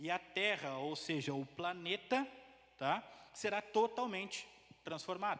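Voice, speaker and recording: A man speaks with a high pitch and a bright, sharp tone. His intonation is lively, broken by long, frequent pauses. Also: fairly slow pace. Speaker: preacher. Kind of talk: sermon. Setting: church.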